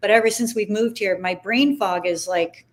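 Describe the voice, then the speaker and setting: With a plain, everyday voice, a woman speaks at fairly high pitch with ordinary pitch variation. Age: 60s. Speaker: former broadcaster, livestream host. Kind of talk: casual interview chat.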